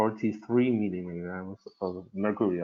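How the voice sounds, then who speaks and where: A man speaks with an Argentine accent. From Argentina. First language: Spanish. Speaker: cardiologist. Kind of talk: medical case presentation. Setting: webinar. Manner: halting, many fillers.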